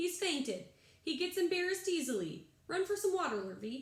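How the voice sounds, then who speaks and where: Using a put-on character voice, a woman pitches it extremely high. She keeps a fairly quick pace. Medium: read story.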